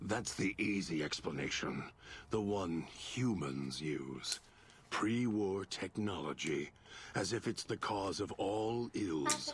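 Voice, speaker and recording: A man's put-on character voice, fairly low-pitched and fairly slow, over clear background noise. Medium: video game. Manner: measured, brooding, articulate.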